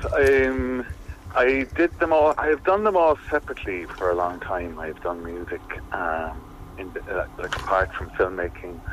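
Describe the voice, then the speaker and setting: Noticeable background noise surrounds a man speaking with an Irish accent. His pace is moderate and his pitch swings very widely. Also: medium pitch for a man. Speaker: filmmaker and musician. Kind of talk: interview.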